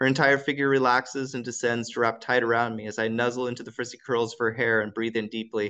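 Fairly even intonation in a natural reading voice

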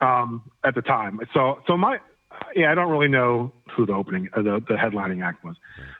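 A man with an American accent speaks in a plain, everyday voice at a medium pitch and a fairly quick pace. His intonation is lively, with big swings in loudness. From Florida. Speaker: hardcore punk musician. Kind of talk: casual interview chat. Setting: phone call.

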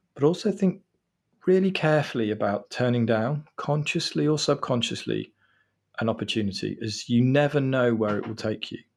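A man talks in a plain, everyday voice at medium pitch. His pace is moderate and his intonation lively. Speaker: law firm managing partner. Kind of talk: professional interview. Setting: remote recording. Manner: formal, measured.

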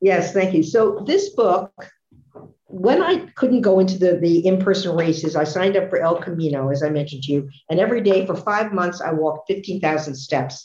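With an American accent, a woman speaks at a moderate pace in a somewhat breathy voice with a dark, mellow tone, medium pitch and ordinary pitch variation. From US Northeast. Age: 70s. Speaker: author and walking racer. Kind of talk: casual interview.

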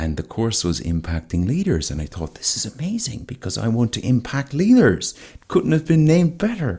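A man's dark, mellow, somewhat breathy voice swings very widely in pitch. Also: moderate pace. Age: 30s. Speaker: guest. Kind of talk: casual interview chat.

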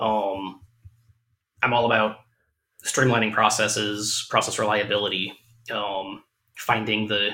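A man speaks with monotone, flat intonation. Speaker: podcast host, machinist. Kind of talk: casual chat.

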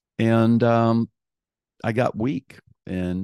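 A man's dark, mellow tone over a quiet background. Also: dry, close sound with no echo. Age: 60s. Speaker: host's father, returning guest. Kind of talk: casual chat. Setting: at home on a couch, shared microphone. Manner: halting, many fillers.

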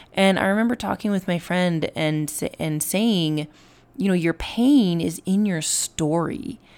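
Against a silent background in a very clean recording, a woman speaks at a fairly slow pace with a fairly low pitch, ordinary pitch variation, and a raspy, slightly mellow tone.

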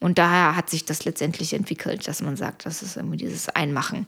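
A woman talks at a fairly quick pace with fairly even intonation in a normal speaking voice. The recording is very clean, with a silent background. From Germany (born in Poland). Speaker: caterer and entrepreneur. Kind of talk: casual interview. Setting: home kitchen.

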